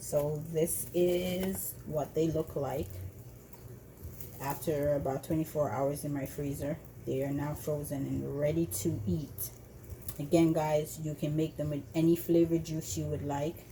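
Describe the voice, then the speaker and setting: In a Jamaican accent, a dark, mellow voice with vocal fry and ordinary pitch variation moves at a fairly slow pace. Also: woman, very deep, low pitch for a woman. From Jamaica, Montego Bay. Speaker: cooking video host. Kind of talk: tutorial. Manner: casual, hesitant with fillers.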